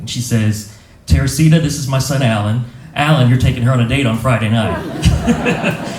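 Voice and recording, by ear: A man at a medium pitch with lively intonation, amid audible room echo.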